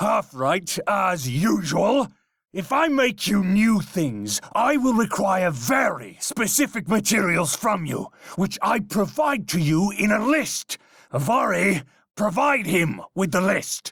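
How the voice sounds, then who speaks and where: In a put-on character voice, a man speaks at a high pitch. His pace is fairly slow. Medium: solo performance. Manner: brusque.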